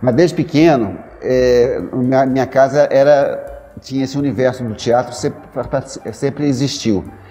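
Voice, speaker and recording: A man talks at a moderate pace, his pitch varying in an ordinary way, while music plays behind him. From Brazil, Belo Horizonte, Minas Gerais. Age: 60s. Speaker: actor and theatre director. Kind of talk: interview. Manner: halting, frequent repetitions.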